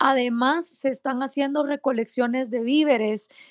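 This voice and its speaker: An animated tone comes through at a fairly slow pace. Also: woman. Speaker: activist. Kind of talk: casual chat. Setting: online audio room.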